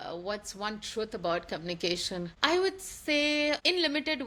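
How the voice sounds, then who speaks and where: The recording is very clean, with a silent background. A woman speaks at a fairly slow pace in a bright, sharp tone. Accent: Indian. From India (Mumbai). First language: Hindi. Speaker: podcast co-host, founder. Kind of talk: casual chat.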